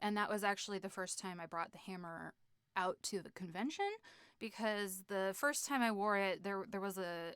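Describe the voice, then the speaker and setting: A woman talks fairly quickly at medium pitch with an American accent. The recording is very clean, with a silent background. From United States. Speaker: streamer and cosplayer. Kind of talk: live stream Q&A. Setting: live stream. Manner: animated.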